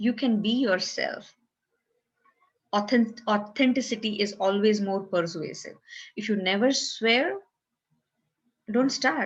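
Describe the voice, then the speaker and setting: Her voice is somewhat breathy and fairly high in pitch, with ordinary pitch variation. The woman speaks at a fairly slow pace. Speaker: self-help video creator. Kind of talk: tutorial.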